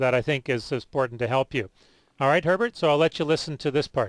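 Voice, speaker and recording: Very fast and at a fairly high pitch, a man speaks with ordinary pitch variation in a dry, close sound with no echo. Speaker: radio health show host. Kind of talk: radio call-in show. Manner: speaks louder for caller.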